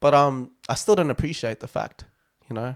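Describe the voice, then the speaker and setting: Recorded with a dry, close sound and no echo, a man speaks with an Australian accent. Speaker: podcast host. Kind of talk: casual chat. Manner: animated.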